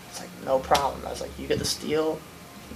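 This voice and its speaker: Noticeable background noise sits behind a man with an American accent and a fairly high pitch. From US Midwest, Akron, Ohio. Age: 20s. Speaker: welder and obstacle racer. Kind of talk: interview. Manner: casual, lots of fillers.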